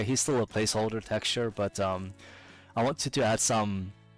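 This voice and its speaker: A man with a medium pitch keeps his intonation fairly even while music plays behind him. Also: very even loudness. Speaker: indie game developer. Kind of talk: casual devlog narration over gameplay. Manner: hesitant, many filler words.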